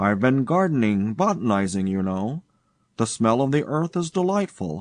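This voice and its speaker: A man's put-on character voice, medium in pitch, with very wide pitch swings, a moderate pace and a dry, close sound with no echo. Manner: speaking very quickly and thickly.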